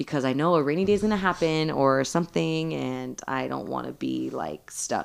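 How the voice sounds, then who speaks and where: A woman with a Southern Californian accent, with hardly any pauses. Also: moderate pace. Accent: Southern Californian American. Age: 30s. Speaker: licensed vocational nurse, bartender and mother. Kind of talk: casual chat.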